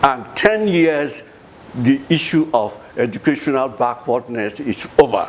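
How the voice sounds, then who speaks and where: Noticeable background noise runs under a man's fairly high voice. He speaks at a fairly slow pace with lively intonation. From Nigeria, Bayelsa State. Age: 80s+. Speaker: retired professor and former government minister. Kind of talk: interview. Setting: home office. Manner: halting, repeats words.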